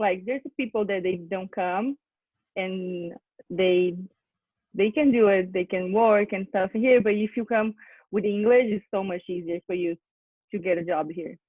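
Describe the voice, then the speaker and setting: A woman with a Portuguese accent, medium in pitch, at a fairly slow pace with long, frequent pauses. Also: ordinary pitch variation. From Brazil, São Paulo countryside. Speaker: au pair. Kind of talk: casual interview.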